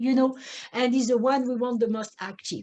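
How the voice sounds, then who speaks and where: A woman with a French accent has a dark, mellow tone. Her voice is somewhat breathy. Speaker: neurofeedback practitioner. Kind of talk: webinar presentation. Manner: halting, many fillers.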